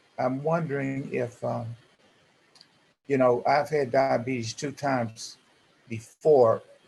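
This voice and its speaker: A man talks at a very slow pace with long, frequent pauses. His medium-pitched voice is somewhat breathy. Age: 70s. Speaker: support group member, transplant patient. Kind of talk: group discussion on video call. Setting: video call. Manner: halting, many fillers.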